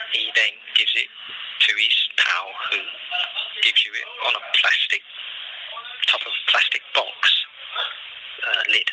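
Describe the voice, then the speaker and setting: A man is heard with noticeable background noise. The sound is dry, with no echo. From London. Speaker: prisoner. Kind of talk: phone call testimony.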